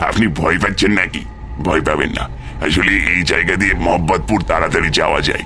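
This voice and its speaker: Through clear background noise, a man does a cartoonish character voice with a very deep, low pitch, a moderate pace and very even loudness. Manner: laughing, evasive.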